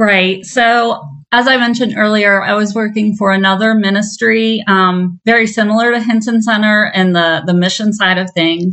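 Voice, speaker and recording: A woman speaks in a normal speaking voice, medium in pitch, with an American accent. Her loudness stays very even, her pace is moderate, and her intonation is fairly even. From southeastern Ohio. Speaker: minister and program director. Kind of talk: interview.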